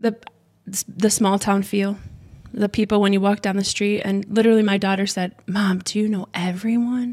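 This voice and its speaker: A woman speaks in a monotone, flat intonation at a moderate pace. Her voice is somewhat breathy. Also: medium pitch for a woman. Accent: American. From Michigan, US Midwest. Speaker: childcare center owner, former pageant queen. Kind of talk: casual interview chat.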